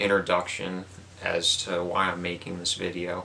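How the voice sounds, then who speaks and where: A soft-spoken man with a very deep, low voice at a moderate pace, with noticeable background noise. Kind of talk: relaxing unboxing talk to camera. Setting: indoors, basement.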